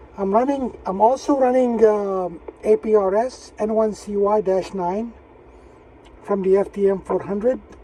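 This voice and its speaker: A man's high voice with fairly even intonation at a fairly slow pace, amid noticeable background noise. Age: 60s. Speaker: amateur radio operator. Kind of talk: casual chat. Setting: radio contact over repeater on handheld.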